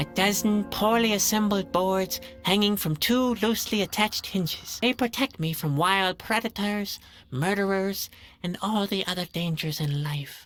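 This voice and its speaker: A female-sounding voice does a put-on character voice at a middle pitch and a moderate pace. Faint music plays in the background. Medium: video game. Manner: melancholy, self-pitying.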